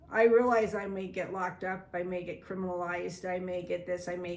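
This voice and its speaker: This woman talks at a moderate pace in a medium pitch. Audible room echo surrounds her voice. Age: 60s. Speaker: video blogger. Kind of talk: personal monologue. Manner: animated.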